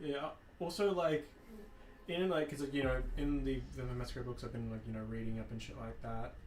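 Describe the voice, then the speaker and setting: The recording carries audible echo from the room around a male speaker. Underneath, there is noticeable background noise. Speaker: gaming streamer. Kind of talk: casual chat; reading aloud. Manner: halting; rambling with fillers.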